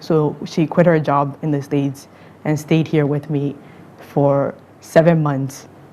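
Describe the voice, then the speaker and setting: With an American accent, a woman speaks at a very deep, low pitch. Her delivery is fairly slow and her intonation monotone and flat. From grew up in the US, Ghanaian parents. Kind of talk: interview. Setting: studio with audience.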